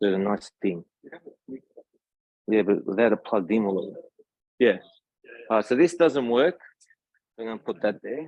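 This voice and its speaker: An Australian-accented man at medium pitch, with lively intonation, a moderate pace and long, frequent pauses. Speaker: tech solutions engineer. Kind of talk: tech talk. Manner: casual.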